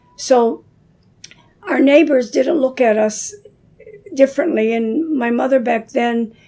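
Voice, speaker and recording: A woman with an American accent and a high pitch, at a fairly slow pace with long, frequent pauses, amid noticeable background noise. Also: ordinary pitch variation. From Dearborn, Michigan, US. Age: 70s. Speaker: community elder. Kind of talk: casual chat. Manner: hesitant, with many fillers.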